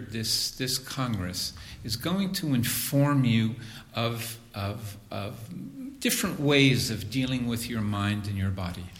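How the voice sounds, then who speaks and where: Very slowly and with lively intonation, a man speaks amid noticeable background noise and audible room echo. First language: English (speaking German). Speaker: spiritual teacher. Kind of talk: lecture. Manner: slow, in short phrases.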